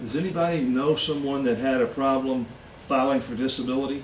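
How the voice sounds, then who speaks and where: With audible room echo around him, a man speaks at a moderate pace with ordinary pitch variation. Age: 60s. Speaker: financial educator. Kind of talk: lecture.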